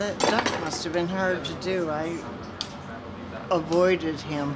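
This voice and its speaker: Noticeable background noise accompanies speech delivered very slowly. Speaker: senior college student. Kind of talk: interview.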